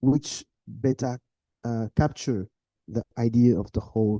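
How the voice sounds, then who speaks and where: With a non-native accent, a man speaks at a medium pitch in a dark, mellow tone with fairly even intonation. His pace is fairly slow, with long, frequent pauses, and the sound is dry and close with no echo. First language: not English. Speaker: medical doctor and research discussant. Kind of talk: conference discussion. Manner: halting.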